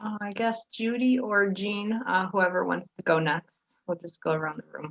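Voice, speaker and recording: In a normal speaking voice, the speaker goes at a moderate pace with ordinary pitch variation and big swings in loudness, recorded dry and close with no echo. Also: woman, medium pitch for a woman. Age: 30s. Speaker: support group president. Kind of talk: casual chat. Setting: video call.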